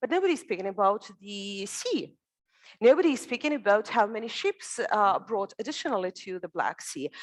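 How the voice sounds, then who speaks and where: A woman talks loudly at a moderate pace. Her fairly high voice makes very wide pitch swings. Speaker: security conference panelist. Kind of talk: panel discussion.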